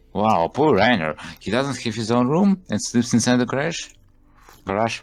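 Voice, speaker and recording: Lively intonation marks a man speaking at a moderate pace and medium pitch. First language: not English. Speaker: game developer and let's play host. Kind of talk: let's play reading game text aloud. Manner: halting.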